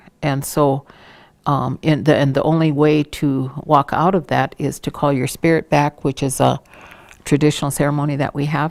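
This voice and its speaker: The sound is dry and close with no echo. A woman with a very deep, low voice speaks at a moderate pace in a monotone, flat intonation. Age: 60s. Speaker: Native elder and cultural trainer. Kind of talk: interview monologue on culture. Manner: reflective, with frequent hesitations.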